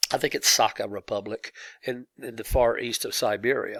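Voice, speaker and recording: The recording is very clean, with a silent background and a dry, close sound with no echo. A man speaks with an American accent. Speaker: teacher. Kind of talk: lecture. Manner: halting.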